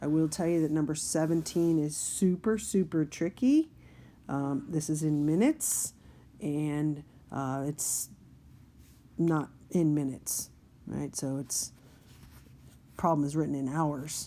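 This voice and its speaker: In a very clean recording with a silent background, a woman with a very deep, low pitch and a dark, mellow tone talks at a fairly slow pace with fairly even intonation and long, frequent pauses. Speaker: math teacher. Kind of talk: tutorial.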